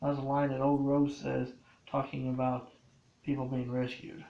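A man speaks at a medium pitch with vocal fry and a slightly mellow tone. His delivery is fairly slow and monotone, with flat intonation and audible room echo.

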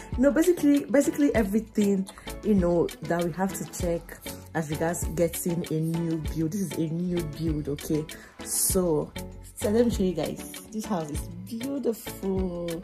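Clear music sounds in the background. The speech moves at a moderate pace. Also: woman, fairly low pitch for a woman. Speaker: vlogger. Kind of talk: casual vlog chat. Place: home room. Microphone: phone near.

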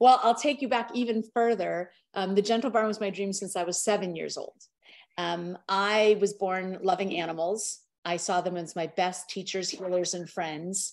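In a quiet background, a woman speaks at a moderate pace with ordinary pitch variation. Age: 50s. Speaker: animal sanctuary founder; guest. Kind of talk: interview. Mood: warm, earnest. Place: home room. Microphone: video call.

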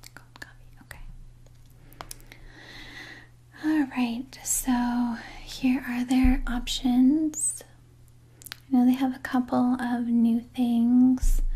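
A soft-spoken woman with a high-pitched voice talks at a very slow pace. Her intonation stays monotone and flat, broken by long, frequent pauses. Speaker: role-play host. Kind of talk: soft personal-attention role-play chat. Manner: soft, hushed ASMR speaking voice. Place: home room.

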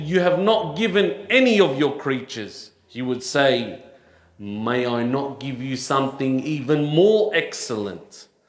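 The speech moves at a fairly slow pace against a quiet background, with audible room echo. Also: man. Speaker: preacher. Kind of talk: sermon. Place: church. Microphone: headset.

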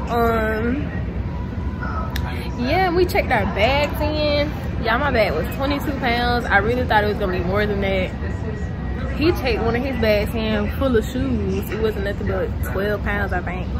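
Amid loud background noise, a woman talks at a moderate pace with long, frequent pauses. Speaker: vlogger. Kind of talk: casual vlog chat. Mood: playful, laughing. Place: station. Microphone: phone near.

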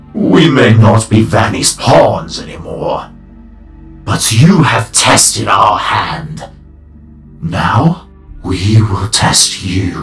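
A man's put-on character voice, fairly low in pitch and very slow, with slight echo and clear music in the background. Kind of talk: dramatic voice acting. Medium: fan dub. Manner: solemn, grave, speaks as 'we'.

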